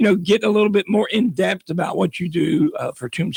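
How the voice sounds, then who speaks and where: Fairly quick speech with vocal fry, in a Southern US accent. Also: man, dry, close sound with no echo. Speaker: radio host. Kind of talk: radio interview. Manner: hesitant, many fillers.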